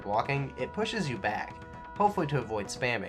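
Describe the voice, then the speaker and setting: Over clear music in the background, a man talks with very wide pitch swings. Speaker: video game reviewer. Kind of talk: game review commentary. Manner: casual, humorous.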